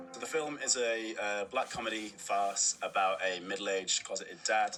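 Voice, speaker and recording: A man with a Cumbrian accent talks at medium pitch and a moderate pace, with ordinary pitch variation and noticeable background noise. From Carlisle, Cumbria. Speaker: film director. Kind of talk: interview.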